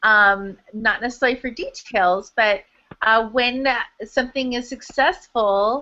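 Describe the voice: A woman's bright, sharp tone at a fairly slow pace, with ordinary pitch variation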